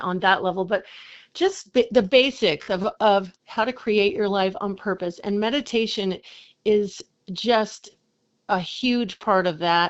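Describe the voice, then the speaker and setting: A woman at a medium pitch and a fairly slow pace, with ordinary pitch variation. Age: 60s. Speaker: recording artist and entrepreneur, meditation teacher. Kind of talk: casual interview chat. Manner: animated, energetic.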